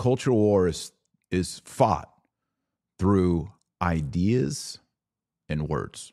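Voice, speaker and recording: A man speaks at a very slow pace with long, frequent pauses and a very deep, low pitch. His tone is dark and mellow on a very clean recording with a silent background. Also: lively intonation. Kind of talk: commentary rant. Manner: opinionated, sarcastic.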